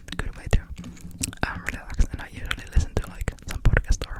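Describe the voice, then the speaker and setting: Someone whispers over noticeable background noise. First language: not English. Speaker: ASMR creator. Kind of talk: ASMR rambling talk. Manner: whispered.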